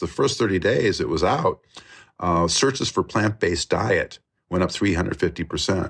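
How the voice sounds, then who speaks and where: A man speaks at a moderate pace in a fairly low voice. The background is quiet. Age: 60s. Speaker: documentary filmmaker. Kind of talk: interview conversation. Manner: halting with many fillers.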